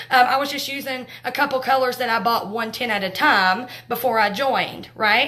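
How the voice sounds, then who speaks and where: A woman speaks in a raised, projected voice. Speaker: makeup direct sales trainer. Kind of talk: live training talk. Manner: loud; talkative, fast.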